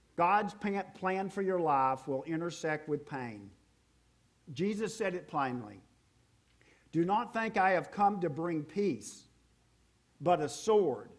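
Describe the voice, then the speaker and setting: Speaking with a Southern US accent, a man talks at a very slow pace with long, frequent pauses, a high pitch and lively intonation. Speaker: pastor. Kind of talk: sermon.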